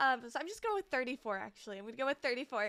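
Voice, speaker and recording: A woman's raised, projected voice, bright and sharp in tone, with very wide pitch swings against a quiet background. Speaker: streamer. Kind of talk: casual chat. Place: home room. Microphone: studio mic.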